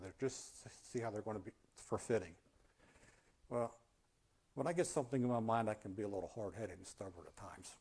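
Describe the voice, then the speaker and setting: Somewhat breathy, a man with an American accent talks at a very fast pace broken by long, frequent pauses, with big swings in loudness and ordinary pitch variation. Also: medium pitch for a man. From Baltimore, Maryland. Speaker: amputee speaker. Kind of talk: public talk with slides. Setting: community speaker event with audience.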